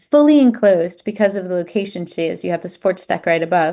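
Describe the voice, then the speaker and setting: Against a quiet background, a woman talks at a fairly quick pace with a dark, mellow tone at a medium pitch and ordinary pitch variation. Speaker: cruise line representative. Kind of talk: virtual presentation. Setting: online virtual event. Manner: fast.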